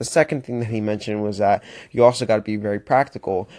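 A man with an American accent speaks at a very fast pace. The background is quiet, and the sound is dry and close with no echo. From Florida. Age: 20s. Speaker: motivational podcaster. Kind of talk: motivational monologue. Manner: animated.

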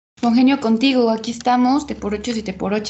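A woman's somewhat breathy voice moves with fairly even intonation. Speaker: podcast co-host. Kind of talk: casual chat.

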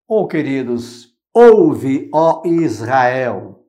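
A man's fairly high-pitched voice in a dark, mellow tone, with very wide pitch swings and audible room echo. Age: 60s. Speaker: religious commentator. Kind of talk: gospel reflection. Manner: informal, conversational.

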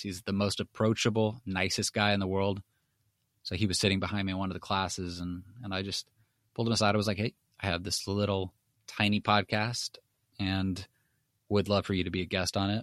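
Someone with an American accent speaks at a very fast pace on a very clean recording with a silent background. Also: man. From Los Angeles (Hollywood). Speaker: podcast host, store owner. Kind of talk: podcast intro and interview. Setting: guest's home for interview; intros recorded separately. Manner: hesitant, many fillers.

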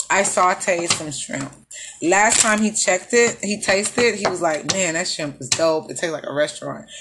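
Over noticeable background noise, a woman with an American accent talks at a moderate pace. Her pitch is medium, with ordinary variation. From Houston, Texas. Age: 30s. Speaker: podcast host. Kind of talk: casual chat.

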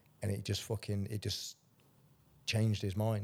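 A man speaks at a fairly low pitch with a dark, mellow tone and flat, monotone intonation, recorded very cleanly against a silent background. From England, council estate. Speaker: life coach and ex-soldier. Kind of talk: casual chat.

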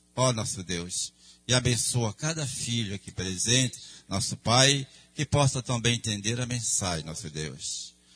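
Fairly slow, lively intonation from a man of medium pitch, with music in the background. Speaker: church member. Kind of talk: prayer.

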